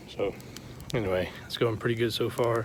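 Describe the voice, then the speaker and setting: Speaking fairly quickly, a man with a fairly low pitch is heard over noticeable background noise. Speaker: vlogger. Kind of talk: casual vlog narration. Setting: outdoors at a campsite. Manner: quiet so as not to wake friend.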